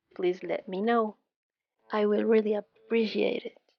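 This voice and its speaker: Music plays in the background as a woman talks with a non-native accent. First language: not English. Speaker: resin crafter. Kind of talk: tutorial.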